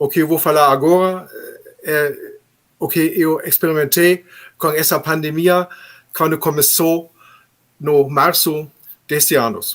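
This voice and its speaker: A man with a German accent speaks at a fairly slow pace and a fairly high pitch. His intonation stays fairly even, with long, frequent pauses. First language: German (speaking Portuguese). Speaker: labour judge. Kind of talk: panel talk. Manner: halting.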